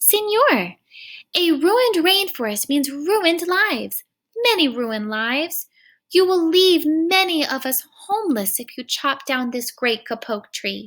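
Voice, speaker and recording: A woman puts on a squeaky character voice at a high pitch and moderate pace, recorded very cleanly against a silent background. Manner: pleading.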